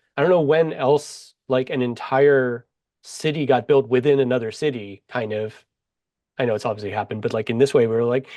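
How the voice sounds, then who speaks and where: Over a quiet background, a man with an American accent talks at a fairly quick pace with ordinary pitch variation. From Pittsburgh, US. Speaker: author. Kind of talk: casual chat. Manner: fast.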